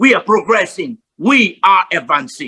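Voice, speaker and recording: A man speaks at a moderate pace in a raised, projected voice with a high pitch. His tone is bright and sharp, and the sound is dry and close with no echo. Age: 70s. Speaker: motivational speaker. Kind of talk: motivational talk.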